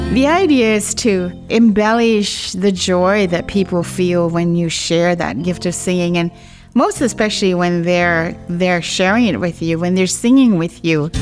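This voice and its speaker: A woman speaks at a fairly slow pace with hardly any pauses, her fairly low pitch moving with ordinary variation over music in the background. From Guam. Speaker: singer. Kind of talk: interview answer.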